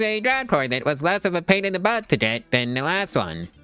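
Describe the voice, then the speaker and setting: A man's high-pitched voice with very wide pitch swings at a moderate pace, music in the background. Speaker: gaming video creator. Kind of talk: casual gameplay commentary.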